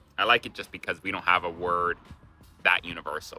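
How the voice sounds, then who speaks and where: With a Canadian accent, a man speaks in a relaxed tone at a moderate pace, his voice very deep and low. Music plays in the background. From Canada. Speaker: travel vlogger. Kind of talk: casual talk to camera. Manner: casual, relaxed.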